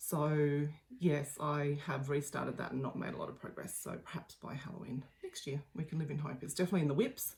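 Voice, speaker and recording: With an Australian accent, a woman talks at a fairly quick pace and a very deep, low pitch amid noticeable background noise. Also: ordinary pitch variation. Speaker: craft video host. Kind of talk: casual video chat. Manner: hesitant, many ums.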